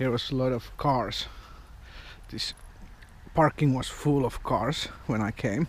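A man talks slowly at a medium pitch with ordinary pitch variation.

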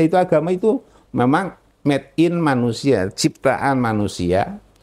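A man talks at a moderate pace with very wide pitch swings and very even loudness. The background is quiet. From Central Java, Indonesia (Magelang); Central Java, Indonesia. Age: 80s+. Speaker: convert to Islam, former pastor, religious teacher. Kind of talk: testimony interview. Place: office. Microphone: lapel.

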